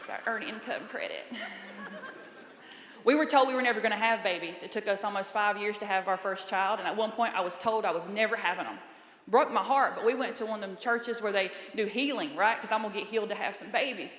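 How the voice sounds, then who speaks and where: A woman with a Southern accent talks very fast at a fairly high pitch with ordinary pitch variation, over noticeable background noise and audible room echo. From US South, small-town North Carolina. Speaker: comedian. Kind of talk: stand-up. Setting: stage with audience.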